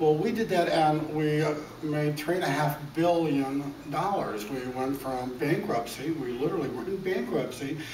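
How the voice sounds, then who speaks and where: Noticeable background noise and audible room echo fill the recording. A man talks at a fairly high pitch with ordinary pitch variation. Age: 60s. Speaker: self-made businessman, debt buyer. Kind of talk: interview. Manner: stammering on repeated words.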